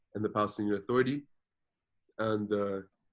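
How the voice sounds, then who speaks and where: A man with a French accent, fairly low in pitch and fairly quick in pace, against a quiet background. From Jordan. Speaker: activist and social media influencer. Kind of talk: interview. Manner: code-switching Arabic and English, with frequent fillers and repetitions.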